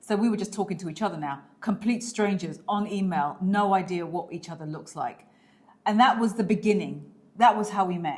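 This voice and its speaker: A woman with a British accent speaks in an animated tone at a medium pitch, her pitch varying in an ordinary way while her loudness swings widely. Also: fairly quick pace. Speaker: lifestyle vlogger. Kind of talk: casual chat.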